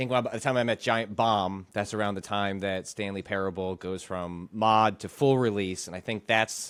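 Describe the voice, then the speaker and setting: A man talks at a moderate pace with fairly even intonation and hardly any pauses, at a fairly low pitch in an ordinary speaking voice. The recording is very clean with a silent background. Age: 40s. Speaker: games journalist and interviewer. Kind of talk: casual interview.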